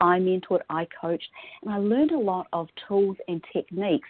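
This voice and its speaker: Speaking with a New Zealand accent, a woman has a medium pitch. Her pace is fairly quick. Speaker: style coach. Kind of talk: podcast interview.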